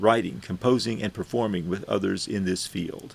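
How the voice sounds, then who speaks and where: Vocal fry runs through this voice, delivered with an American accent. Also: man. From US Gulf Coast, Houston. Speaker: university librarian teaching a course. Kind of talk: lecture.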